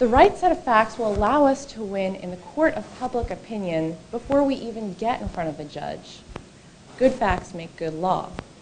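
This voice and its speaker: A woman with a fairly high pitch makes very wide pitch swings and big swings in loudness, with audible room echo around her. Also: moderate pace. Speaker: attorney. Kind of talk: conference talk. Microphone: too far from the mic.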